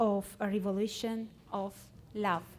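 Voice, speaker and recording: A woman with an Armenian accent speaks in a dark, mellow tone. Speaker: researcher. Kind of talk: conference presentation. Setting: stage with audience. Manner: halting.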